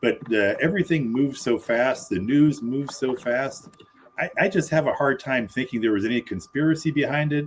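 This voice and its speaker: A man talks at a fairly quick pace with a fairly high pitch and ordinary pitch variation. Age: 60s. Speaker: political commentary panelist. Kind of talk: casual debate. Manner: halting, repeated starts.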